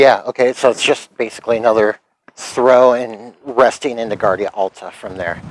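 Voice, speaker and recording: This man talks at a moderate pace with medium pitch, fairly even intonation, and a plain, everyday voice. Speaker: historical fencing practitioner. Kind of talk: tutorial.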